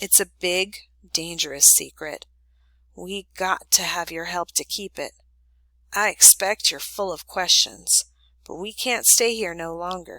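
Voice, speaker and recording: This put-on character voice sounds raspy, moving at a fairly slow pace with ordinary pitch variation in a dry, close sound with no echo. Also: woman, medium pitch for a woman. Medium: read story. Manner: gentle, homespun.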